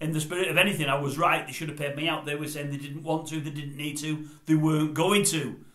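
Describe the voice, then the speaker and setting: Audible room echo and noticeable background noise surround a man whose pitch is fairly high. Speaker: vlogger. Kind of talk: casual monologue. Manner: fast; quiet.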